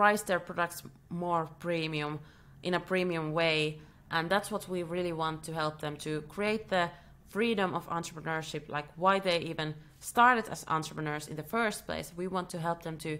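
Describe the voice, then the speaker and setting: The pace is moderate. The tone comes across bright and sharp. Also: woman, fairly low pitch for a woman. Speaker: business coach and company founder. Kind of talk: business talk to camera. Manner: halting, many fillers and restarts.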